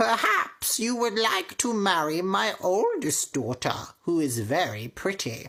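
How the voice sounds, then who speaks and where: A woman puts on a character voice at a medium pitch, speaking at a fairly slow pace. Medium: read story. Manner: harsh, domineering.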